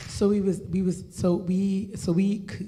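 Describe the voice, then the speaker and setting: There is noticeable background noise behind a woman's voice. Room echo can be heard. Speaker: talk show host. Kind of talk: live show hosting. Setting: stage with audience. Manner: soft-spoken.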